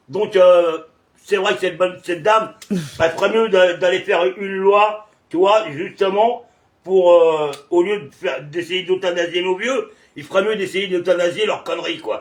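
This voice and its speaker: A man with a high pitch speaks at a fairly slow pace. His pitch variation is ordinary. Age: 60s. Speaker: video blogger. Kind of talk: casual chat. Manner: hesitant, many filler sounds.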